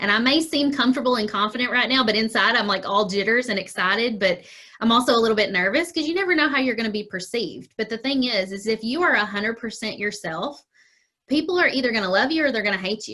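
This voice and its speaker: A woman with a Kentucky accent, fairly high-pitched, lively in intonation, at a very fast pace. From Kentucky, Murray. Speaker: small business owner. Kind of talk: interview. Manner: casual, chatty.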